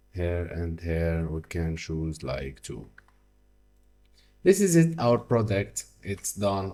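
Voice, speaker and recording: In a very clean recording with a silent background, a man speaks at a very slow pace. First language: French. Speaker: software tutorial creator. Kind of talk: tutorial. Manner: halting, many fillers.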